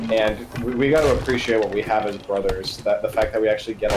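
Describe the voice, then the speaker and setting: Noticeable background noise sits behind the speaker. A man talks very fast, with hardly any pauses. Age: 20s. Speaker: gamer friend. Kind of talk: casual chat. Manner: halting.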